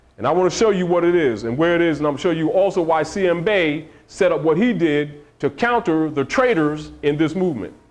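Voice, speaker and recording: Audible room echo surrounds a man with a fairly high pitch. He talks at a fairly quick pace with ordinary pitch variation. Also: very even loudness. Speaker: religious teacher. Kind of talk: lecture.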